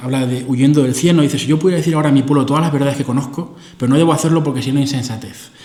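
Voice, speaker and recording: A man talks at a very fast pace in a fairly high voice, with fairly even intonation. There is noticeable background noise and audible room echo. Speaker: philosopher giving a lecture. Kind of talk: lecture.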